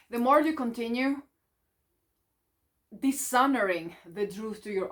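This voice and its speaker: The woman talks at a fairly slow pace. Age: 30s. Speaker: life coach. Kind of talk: motivational talk to camera. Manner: spontaneous, unscripted.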